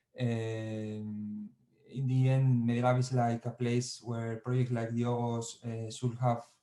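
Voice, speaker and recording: A man speaks very slowly in a medium-pitched, dark, mellow voice. His intonation is monotone and flat. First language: Spanish or Basque. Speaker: digital culture lab coordinator. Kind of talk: online conference talk. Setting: video call from home. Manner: halting.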